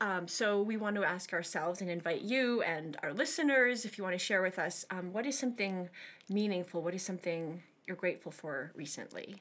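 A woman speaks in a normal speaking voice at medium pitch, with lively intonation and a moderate pace, on a very clean recording with a silent background. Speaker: podcast co-host and classical musician. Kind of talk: casual conversational interview. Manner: warm, laughs often.

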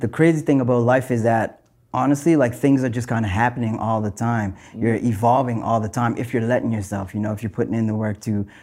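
A man speaks at a medium pitch with a dark, mellow tone. His intonation stays fairly even and his pace is fairly quick. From Nova Scotia, Canada (North Preston). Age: 20s. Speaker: musician. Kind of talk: interview. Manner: halting, many fillers.

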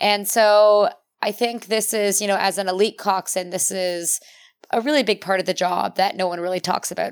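A woman speaks in a plain, everyday voice at a medium pitch and moderate pace, her intonation fairly even, on a very clean recording with a silent background. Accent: Canadian. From Ontario, Canada. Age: 30s. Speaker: Olympic rower and cyclist. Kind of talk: casual interview.

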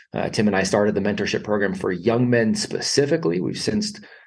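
With audible room echo, a man talks fairly quickly in a fairly low pitch, lively intonation and vocal fry.

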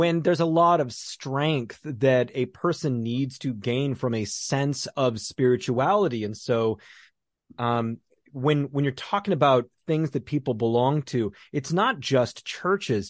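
An unremarkable speaking voice moves at a fairly slow pace with ordinary pitch variation. The sound is dry and close with no echo, over a quiet background. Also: man, medium pitch for a man. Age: 40s. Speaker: podcast host, therapist and coach. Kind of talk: interview conversation.

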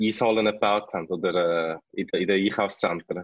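This is an unremarkable speaking voice, a man's, at a fairly low pitch. He keeps a moderate pace and fairly even intonation. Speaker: ice hockey player, national team captain. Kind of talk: interview.

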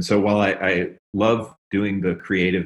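With a normal speaking voice, a man talks at a fairly low pitch and a fairly slow pace. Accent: American. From US South, Memphis, Tennessee. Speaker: software engineer, startup CTO. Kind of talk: casual interview.

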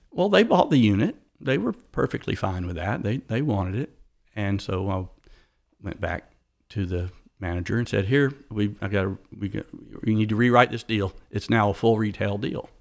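Here is a man with a Southern US accent and a fairly low pitch. The recording is very clean, with a silent background. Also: ordinary pitch variation, moderate pace. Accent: Southern US (Georgia). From US South, south Atlanta, Georgia. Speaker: motorcycle shop owner, former physician assistant. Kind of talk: interview.

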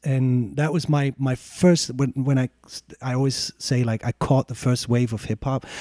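A man speaks with a German accent in a dark, mellow tone, at a fairly slow pace and with fairly even intonation. The recording is very clean with a silent background, and the sound is dry and close with no echo. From Germany (born in East Germany, raised in West Germany). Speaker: DJ. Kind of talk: podcast interview. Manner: hesitant, many fillers and restarts.

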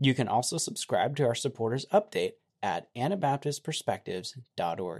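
A man speaks at a fairly high pitch with vocal fry and very wide pitch swings. The sound is dry and close, with no echo. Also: moderate pace. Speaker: podcast host interviewer. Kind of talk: interview conversation.

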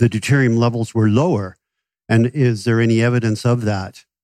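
A man with a Canadian accent, an unremarkable speaking voice, medium pitch and a moderate pace. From Canada. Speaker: audience member asking a question. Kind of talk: audience question at live event. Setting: stage with audience.

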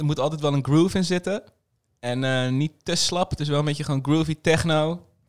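A man with an unremarkable speaking voice, pitched fairly high, talks at a fairly quick pace with fairly even intonation in a very clean recording with a silent background and a dry, close sound with no echo. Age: 30s. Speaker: DJ and festival organiser. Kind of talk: casual interview. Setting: club venue.

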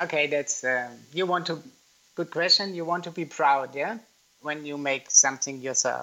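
Speaking at a moderate pace with a German accent, a man with a fairly high pitch shows ordinary pitch variation and big swings in loudness. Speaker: yarn manufacturer. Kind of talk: interview. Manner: halting.

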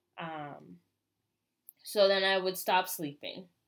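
With an American accent, a woman talks very slowly at a medium pitch. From US. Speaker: podcast host. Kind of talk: personal monologue.

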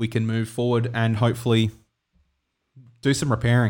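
A man with an Australian accent and a medium pitch talks at a fairly quick pace with monotone, flat intonation. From South Australia. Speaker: podcast co-host.

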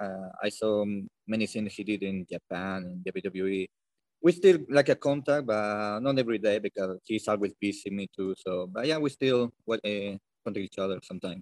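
With a Spanish accent, a man speaks at a fairly low pitch with ordinary pitch variation against a quiet background. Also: moderate pace, dry, close sound with no echo. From Bilbao, Spain. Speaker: pro wrestler. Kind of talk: casual interview. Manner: halting, non-fluent English.

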